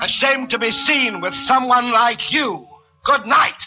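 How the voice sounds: A man puts on an extremely high character voice with a bright, sharp tone and ordinary pitch variation. He talks at a slow pace over faint background music.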